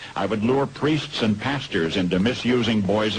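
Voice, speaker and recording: A man with an American accent talks at a moderate pace with ordinary pitch variation. His pitch is fairly low, and there is noticeable background noise. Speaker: radio broadcaster. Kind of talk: radio commentary, dramatic monologue.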